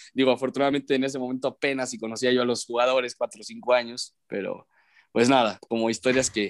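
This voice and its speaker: Heard in a dry, close recording with no echo, a man with a medium pitch speaks at a very fast pace. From León, Guanajuato, Mexico. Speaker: sports broadcaster. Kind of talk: casual chat.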